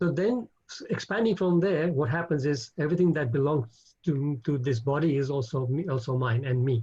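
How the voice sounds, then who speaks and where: A man with a fairly high pitch speaks in a somewhat breathy voice with a dark, mellow tone. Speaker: spiritual teacher. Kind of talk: religious class with Q&A over video call. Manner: fast when excited.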